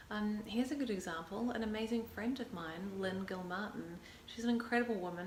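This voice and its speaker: Speaking fairly quickly in a New Zealand accent, a woman keeps a fairly high pitch and fairly even intonation. Noticeable background noise and audible room echo surround her. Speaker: actor and vlogger. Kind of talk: casual vlog talk to camera. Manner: hesitant, many fillers.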